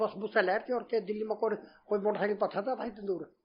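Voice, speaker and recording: Speaking at a high pitch, a man keeps his intonation fairly even. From Haryana, India. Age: 70s. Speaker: retired shopkeeper. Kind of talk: interview answer.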